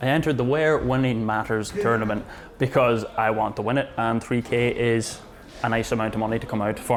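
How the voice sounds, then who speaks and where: A man with an Irish accent speaks at a fairly quick pace with fairly even intonation. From Ireland. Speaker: battle rapper. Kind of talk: pre-battle interview.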